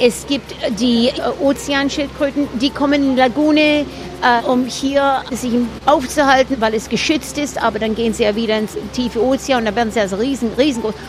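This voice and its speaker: Music plays in the background while a woman talks at a high pitch. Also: ordinary pitch variation, moderate pace. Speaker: boat tour guide. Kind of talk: casual tour-guide explanation in an interview. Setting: outdoors on a boat.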